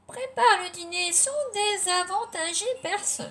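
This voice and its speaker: In a put-on character voice, a woman speaks at an extremely high pitch with lively intonation. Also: moderate pace. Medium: read story.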